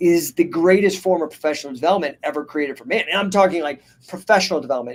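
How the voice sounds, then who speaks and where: The man speaks with a fairly high pitch. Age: 50s. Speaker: wrestling coach and business podcast host. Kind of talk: live stream podcast monologue answering chat. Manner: casual, animated.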